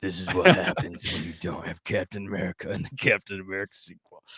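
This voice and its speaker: A man rattles off lines at a very fast pace in a put-on character voice that is very deep, low and raspy. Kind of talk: gruff, streetwise. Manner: mocking, exaggerated.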